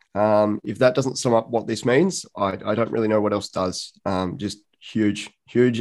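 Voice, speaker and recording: Over a quiet background, a man speaks at a moderate pace with fairly low pitch and fairly even intonation. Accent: Australian. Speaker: football writer. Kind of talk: casual chat.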